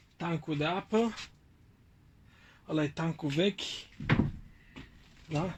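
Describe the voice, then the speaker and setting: Against a quiet background, a man speaks very slowly at a fairly high pitch. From Bucharest, Romania. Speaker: vlogger. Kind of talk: casual vlog talk to camera.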